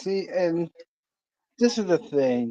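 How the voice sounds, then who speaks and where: With a dark, mellow tone and lively intonation, a man speaks at a fairly slow pace in a dry, close sound with no echo. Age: 20s. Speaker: stream host. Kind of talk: casual livestream chat.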